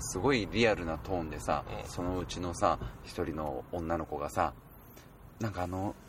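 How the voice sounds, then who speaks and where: With lively intonation and a very deep, low pitch, a man talks at a moderate pace. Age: 20s. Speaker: podcast guest. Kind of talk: casual chat.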